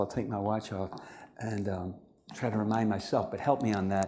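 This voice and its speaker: A man speaks at a fairly quick pace with a dark, mellow tone and fairly low pitch. Audible room echo surrounds his voice. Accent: American. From United States. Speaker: spiritual teacher and lecturer. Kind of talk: lecture. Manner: fast.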